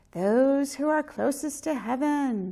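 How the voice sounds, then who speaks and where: A female-sounding put-on character voice, high-pitched, at a fairly slow pace. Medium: read story.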